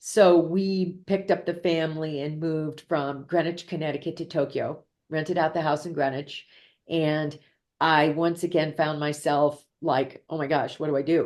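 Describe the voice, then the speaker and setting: A woman with an American accent speaks at a moderate pace and a very deep, low pitch, her intonation monotone and flat. The background is quiet. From Ohio, US Midwest. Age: 50s. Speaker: executive coach and entrepreneur. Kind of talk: interview. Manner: casual conversational, frequent fillers.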